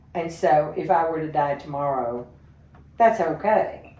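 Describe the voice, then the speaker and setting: Audible room echo surrounds a woman speaking at a fairly slow pace with a fairly low pitch and ordinary pitch variation. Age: 70s. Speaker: interview guest. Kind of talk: casual interview conversation.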